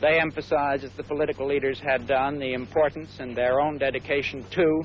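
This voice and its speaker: Talking at a fairly quick pace, a man with a normal speaking voice and fairly high pitch keeps a fairly even intonation. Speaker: government security adviser. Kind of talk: press statement to reporters.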